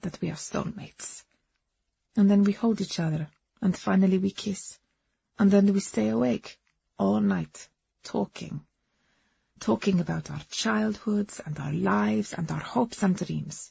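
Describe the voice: A woman puts on a character voice at a fairly slow pace, pitched medium for a woman. Her tone is dark and mellow, with vocal fry and a husky, rough edge. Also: ordinary pitch variation.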